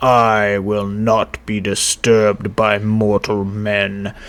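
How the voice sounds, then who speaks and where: A man's put-on character voice, pitched fairly low. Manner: menacing, ominous.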